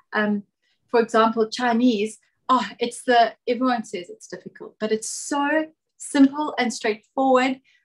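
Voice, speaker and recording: At a fairly slow pace, a woman speaks with high pitch, ordinary pitch variation and big swings in loudness. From South Africa. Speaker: travel content creator. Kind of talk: casual podcast interview.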